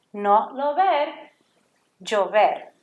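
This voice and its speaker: A woman's high-pitched voice in a Puerto Rican accent with very wide pitch swings. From Puerto Rico. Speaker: Spanish teacher. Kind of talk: lesson for children. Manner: slow, clear enunciation.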